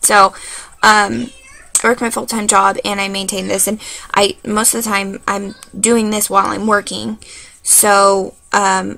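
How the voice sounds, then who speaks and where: A bright, sharp tone at a fairly slow pace, with monotone, flat intonation. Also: woman. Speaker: website founder video blogger. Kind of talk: casual vlog. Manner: filler-heavy, hesitant.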